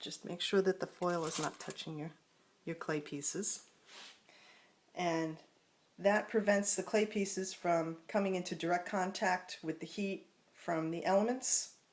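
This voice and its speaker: With an American accent, a woman speaks at a medium pitch and a fairly slow pace, using fairly even intonation and long, frequent pauses. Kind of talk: craft tutorial talk to camera. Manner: casual, relaxed.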